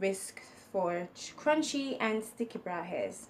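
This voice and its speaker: The speaker uses a put-on character voice. The words come out mumbled. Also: woman. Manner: mumbling.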